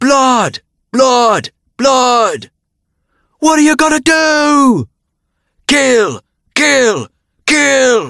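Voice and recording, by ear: Using a put-on character voice in a British accent, a man speaks at an extremely high pitch with big pitch swings, vocal fry and a bright, sharp tone. He goes very slowly with long, frequent pauses, and the sound is dry and close with no echo. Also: very clean recording, silent background.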